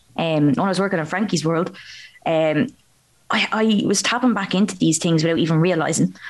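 An unremarkable speaking voice, the woman talks at a fairly quick pace with a fairly low pitch, ordinary pitch variation and very even loudness. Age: 20s. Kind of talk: casual interview chat.

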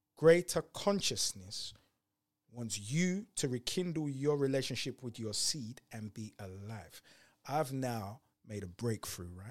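A man with a normal speaking voice at a medium pitch, fairly slow, with lively intonation and big swings in loudness, on a very clean recording with a silent background. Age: 40s. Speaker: entrepreneur and speaker. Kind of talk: podcast interview.

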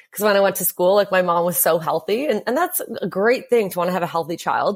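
A woman with a Canadian accent has an ordinary speaking voice, a fairly low pitch and ordinary pitch variation on a very clean recording with a silent background. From Ontario, Canada (Hamilton). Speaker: former prisoner. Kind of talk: interview testimony.

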